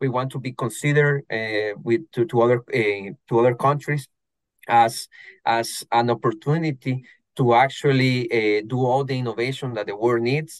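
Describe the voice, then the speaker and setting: Speaking at a moderate pace with a Spanish accent, a man at a medium pitch keeps a fairly even intonation, the sound dry and close with no echo over a quiet background. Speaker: investment promotion specialist. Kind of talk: interview. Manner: halting, many fillers and repetitions.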